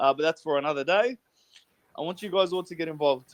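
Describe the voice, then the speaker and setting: A man with an Australian accent and a fairly high pitch, in a dry, close sound with no echo. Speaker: podcast host. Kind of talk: casual chat. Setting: online voice chat room. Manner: energetic.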